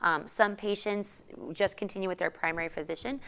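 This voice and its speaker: A fairly quick pace with an American accent. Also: woman. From Southern California (Whittier). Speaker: obstetrician gynecologist. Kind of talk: educational webinar with Q&A. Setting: online community class from health facility. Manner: casual, many filler ums.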